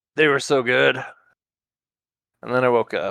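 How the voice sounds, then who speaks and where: Using a raspy, put-on character voice at medium pitch, a man speaks at a moderate pace in a dry, close recording with no echo. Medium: actual play. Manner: blunt, eager.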